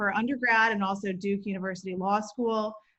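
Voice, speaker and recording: This woman has a normal speaking voice with an American accent. Her pitch is medium and her pace fairly quick. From Atlanta, Georgia, US South. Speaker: state supreme court justice, judicial candidate. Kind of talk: candidate stump speech. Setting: video call.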